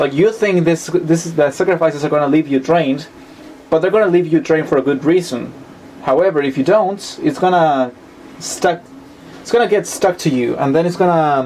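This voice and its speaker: Speaking at a fairly quick pace, a man with a Spanish accent uses a fairly high pitch and ordinary pitch variation. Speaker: tarot reader. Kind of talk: tarot reading monologue. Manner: halting, with self-corrections.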